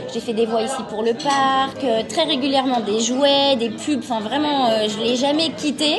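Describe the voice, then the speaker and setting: Over music in the background, a woman speaks with a high pitch. Audible room echo surrounds her voice. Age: 40s. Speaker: voice actress. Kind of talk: interview.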